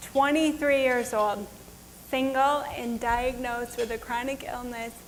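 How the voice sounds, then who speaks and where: Noticeable background noise sits behind a woman's high voice. She speaks at a fairly slow pace in a monotone, flat intonation. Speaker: multiple sclerosis keynote speaker. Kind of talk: motivational keynote speech.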